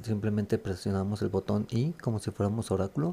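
A man speaks softly at a moderate pace, his pitch fairly low with ordinary variation. The tone is dark and mellow, and the recording is very clean with a silent background. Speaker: gaming youtuber. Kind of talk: tutorial. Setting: at home at night. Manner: soft-spoken; hesitant, many fillers.

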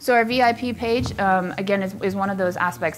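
With music playing in the background, a woman talks at a fairly quick pace with lively intonation. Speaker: conference presenter. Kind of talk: presentation talk. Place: hall.

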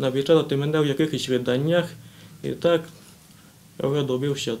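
A man talks at a moderate pace with a fairly high pitch and fairly even intonation. Light background noise can be heard. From Transcarpathia, Ukraine (Svaliava district); Ukraine. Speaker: young writer and poet; interview guest. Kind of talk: TV interview; interview answer. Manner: halting. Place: office.

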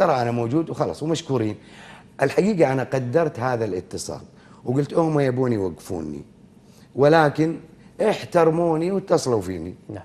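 The man's pitch swings very widely as he talks at a moderate pace. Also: medium pitch for a man. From Kuwait. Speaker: veteran broadcaster; TV guest. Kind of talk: interview; interview answer. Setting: studio. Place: studio. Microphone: lapel.

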